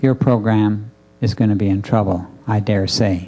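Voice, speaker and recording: Fairly low in pitch and with a Canadian accent, a man speaks in a dark, mellow tone with fairly even intonation. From Canada, Winnipeg. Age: 60s. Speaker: restorative justice coordinator. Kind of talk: conference talk. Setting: room with audience. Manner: halting, many fillers.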